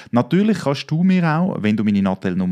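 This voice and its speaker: Against a quiet background, a man's voice swings very widely in pitch, with a dry, close sound and no echo. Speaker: podcast host. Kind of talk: interview.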